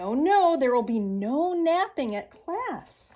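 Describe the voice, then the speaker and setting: Putting on a character voice, a woman speaks very slowly at a high pitch with very wide pitch swings. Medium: read story. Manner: chirpy, enthusiastic.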